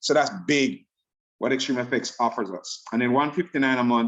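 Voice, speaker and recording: A man speaks in a Jamaican accent at medium pitch. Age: 50s. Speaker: network marketing presenter. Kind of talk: sales pitch.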